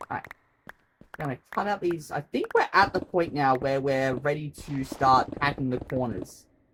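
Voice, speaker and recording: Delivered at a moderate pace, the speech comes with an Australian accent. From Australia, Queensland. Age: 30s. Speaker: streamer. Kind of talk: live gaming stream chat. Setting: bedroom home stream. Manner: rambling, chatty.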